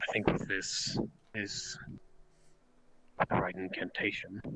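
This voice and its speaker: A man performs a put-on character voice. It sits at a fairly low pitch and moves at a fairly slow pace. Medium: game stream. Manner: curt, imperious.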